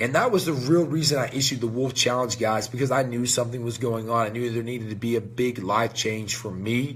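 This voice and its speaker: An energetic man's voice at medium pitch, fairly quick in pace, with noticeable background noise. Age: 30s. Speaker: supplement company owner hosting a live show. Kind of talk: live stream casual talk. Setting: company headquarters, live stream.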